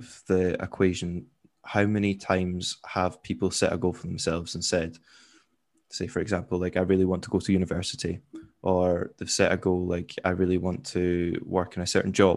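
A man with a very deep, low pitch at a fairly quick pace over music in the background. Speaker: podcast co-host. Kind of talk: casual chat.

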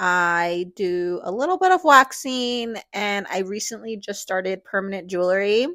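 A woman speaks at a fairly slow pace with lively intonation, on a very clean recording with a silent background. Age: 30s. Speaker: podcast host and lash artist. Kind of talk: casual monologue.

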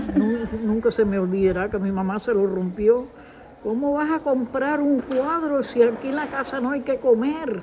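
A woman speaks at a fairly slow pace in a high voice with ordinary pitch variation over noticeable background noise. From Cuba. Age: 80s+. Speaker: elderly woman at risk of social exclusion. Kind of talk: interview testimony.

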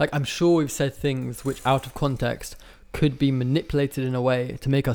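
An unremarkable speaking voice belongs to this man, who talks at a moderate pace with a medium pitch and fairly even intonation. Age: 20s. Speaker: social media commentator. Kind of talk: casual chat.

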